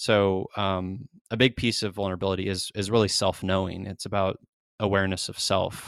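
A man's fairly low, flat, monotone voice at a moderate pace, dry and close with no echo, on a very clean recording with a silent background. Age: 40s. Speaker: mental health advocate and writer. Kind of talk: interview conversation.

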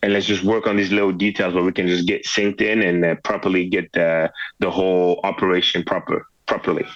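A man with a French accent and a very deep, low pitch talks fairly quickly in a flat monotone, his loudness very even. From France. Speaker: professional football kicker. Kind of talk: interview. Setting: phone call.

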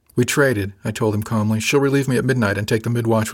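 Someone reads out loud in a natural voice.

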